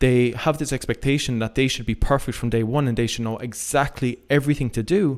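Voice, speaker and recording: In an Irish accent, a man speaks at a fairly quick pace with fairly even intonation on a very clean recording with a silent background. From Ireland. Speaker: fitness coach. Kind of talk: casual interview chat.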